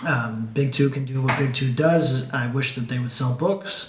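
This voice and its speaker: A man speaks at a moderate pace with a fairly high pitch and ordinary pitch variation. Noticeable background noise and audible room echo surround his voice. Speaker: comic book writer and YouTuber. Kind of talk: casual monologue. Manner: stuttering; rambling, halting with many fillers.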